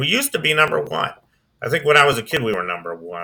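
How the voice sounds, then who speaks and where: Here a man talks at a very fast pace with an American accent. His tone is bright and sharp. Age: 60s. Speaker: video blogger. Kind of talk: casual commentary. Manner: hesitant, many fillers.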